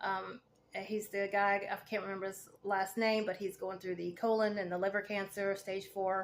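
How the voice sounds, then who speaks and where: Monotone, flat intonation at a moderate pace. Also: woman, medium pitch for a woman. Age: 40s. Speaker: cancer patient vlogger, veteran, fitness coach. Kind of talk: casual vlog monologue. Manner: hesitant, many fillers.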